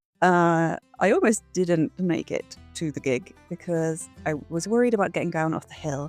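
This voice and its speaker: A woman speaks with a British accent at a fairly low pitch, with ordinary pitch variation. Music plays in the background. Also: moderate pace, hardly any pauses. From England. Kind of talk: casual travel vlog narration.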